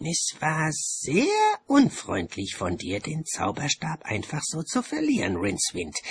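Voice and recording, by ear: A man uses a put-on character voice, fairly high in pitch with very wide swings, a husky, rough edge and vocal fry. He talks at a fairly slow pace.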